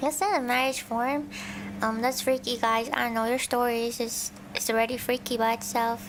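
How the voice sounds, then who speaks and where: Fairly even intonation at a moderate pace over noticeable background noise. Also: woman, fairly high pitch for a woman. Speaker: virtual streamer (vtuber) and ASMR creator. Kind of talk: soft reading of scary stories with casual commentary.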